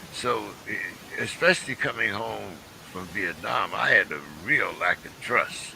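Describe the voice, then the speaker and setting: With an American accent, a man speaks with long, frequent pauses and big swings in loudness against noticeable background noise. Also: fairly slow pace. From Pittsburgh, US. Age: 70s. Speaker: talk show host, Vietnam veteran. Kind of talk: casual chat. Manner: halting.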